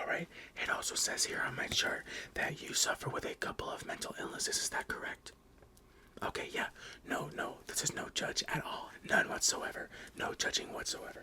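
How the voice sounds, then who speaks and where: There is noticeable background noise. Through it, a man whispers. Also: moderate pace. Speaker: ASMR creator playing a therapist. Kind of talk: ASMR roleplay. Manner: soft-spoken, whispering.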